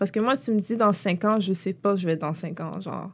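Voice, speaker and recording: A woman at a medium pitch comes through on a very clean recording with a silent background. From Quebec, Montreal-Nord. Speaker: entrepreneur. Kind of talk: interview. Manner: casual, halting with fillers.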